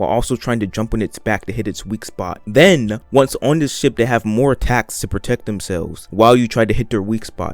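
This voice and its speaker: Over music in the background, a man speaks at a fairly quick pace with a medium pitch and ordinary pitch variation. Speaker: gaming video essayist. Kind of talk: scripted video essay narration. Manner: animated.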